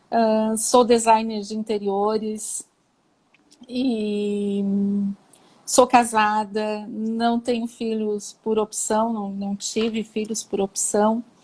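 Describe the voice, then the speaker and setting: Her voice is fairly high and somewhat breathy, as a woman speaks at a very slow pace with monotone, flat intonation. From southern Brazil, Santa Catarina (São Joaquim). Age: 40s. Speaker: cancer patient, interior designer. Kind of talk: live interview. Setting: online live stream.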